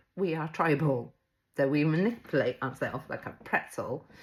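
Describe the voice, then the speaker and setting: A woman speaks at a moderate pace in a very deep, low voice, recorded very cleanly against a silent background. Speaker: mental health coach. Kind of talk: live-stream motivational talk.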